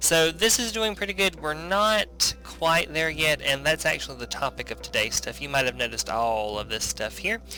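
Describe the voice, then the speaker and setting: With music in the background, a man talks with hardly any pauses. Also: moderate pace. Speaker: gaming YouTuber. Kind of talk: gameplay commentary. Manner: casual with filler words.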